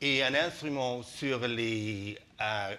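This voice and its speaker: The man's tone is bright and sharp. He has a non-native accent. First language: not French (speaking French). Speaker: business representative. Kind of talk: TV talk show interview. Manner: halting, many hesitations.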